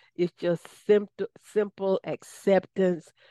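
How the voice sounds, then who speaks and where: A woman with a Southern US accent speaks at a very slow pace, her fairly low voice dark and mellow in tone. The recording is very clean, with a silent background. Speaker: radio host. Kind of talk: radio interview, spiritual talk.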